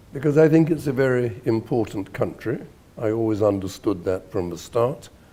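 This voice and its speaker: A man with a British accent speaks at a moderate pace in a medium pitch, his dark, mellow tone carried by lively intonation. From Britain. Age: 70s. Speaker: neurosurgeon and writer. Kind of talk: interview answer.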